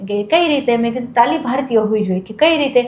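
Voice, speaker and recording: Noticeable background noise accompanies a woman speaking at a high pitch with ordinary pitch variation. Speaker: stand-up comedian. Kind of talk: interview answer.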